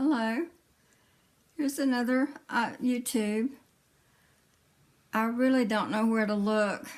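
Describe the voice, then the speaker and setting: In a Southern US accent, a woman speaks at a very slow pace with long, frequent pauses. Her pitch is high and her intonation fairly even. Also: very even loudness. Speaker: vlogger sharing health story. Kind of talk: personal vlog testimony. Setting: indoors, iPad camera. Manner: halting, many fillers.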